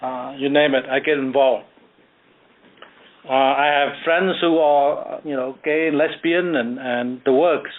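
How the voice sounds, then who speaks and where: A man with a Cambodian accent speaks at a fairly slow pace. His pitch sits fairly high, and his intonation stays fairly even. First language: Khmer. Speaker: author and landscape architect. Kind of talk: radio interview. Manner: hesitant, many fillers.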